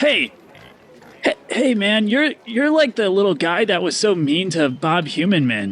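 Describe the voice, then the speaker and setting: In a drawling put-on character voice, the speaker swings very widely in pitch at a moderate pace while keeping the loudness very even. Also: man, high pitch for a man. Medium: actual play. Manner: drawling, hesitant, peppered with "man" and "like".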